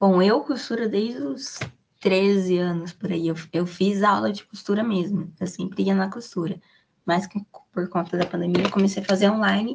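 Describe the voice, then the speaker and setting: A woman of medium pitch speaks at a moderate pace, somewhat breathy, with ordinary pitch variation. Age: 20s. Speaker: content creator and podcast host. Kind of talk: casual interview chat.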